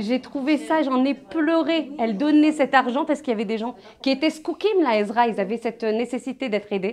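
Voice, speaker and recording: Talking at a fairly quick pace, a woman uses lively intonation and a high pitch. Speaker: Torah teacher. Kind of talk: memorial Torah lesson. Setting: evening gathering at a holy site. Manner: halting, repetitive.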